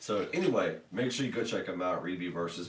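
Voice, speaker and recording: A man talks at a fairly quick pace in a very deep, low pitch with ordinary pitch variation. There is audible room echo and noticeable background noise. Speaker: podcast host. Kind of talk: casual podcast chat. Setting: live stream.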